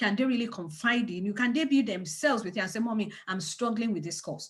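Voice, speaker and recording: Fairly high-pitched and somewhat breathy, a woman speaks at a very fast pace in an animated tone with lively intonation. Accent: strong non-native. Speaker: parenting organization leader. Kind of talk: webinar talk. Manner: animated, repetitive emphasis.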